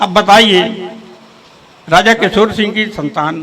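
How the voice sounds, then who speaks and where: A raised, projected voice with lively intonation carries over noticeable background noise. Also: man. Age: 80s+. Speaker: community elder. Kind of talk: speech to local gathering.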